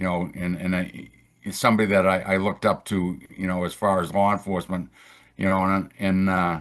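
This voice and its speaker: This man talks at a moderate pace with a Boston accent, his pitch very deep and low. His intonation is monotone and flat, and the background is quiet. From Boston, Massachusetts. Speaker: retired federal agent. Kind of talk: interview. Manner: halting, many repeated words.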